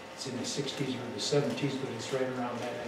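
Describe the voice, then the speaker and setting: A man with an American accent at a medium pitch, with noticeable background noise and audible room echo. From US Southwest. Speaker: presenter. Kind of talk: lecture. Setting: stage with audience. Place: hall. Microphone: camera far.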